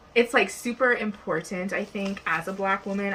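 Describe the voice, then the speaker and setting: Over noticeable background noise, a woman talks at a moderate pace in an animated tone. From Nova Scotia, Canada. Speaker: nail client. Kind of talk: casual chat.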